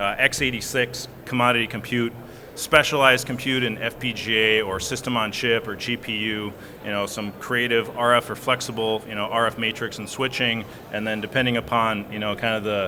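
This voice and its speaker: A man with a Minnesota accent at a medium pitch, talking at a fairly quick pace in a flat monotone over noticeable background noise. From US Midwest, Minnesota. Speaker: software engineer, panelist. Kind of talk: conference panel discussion.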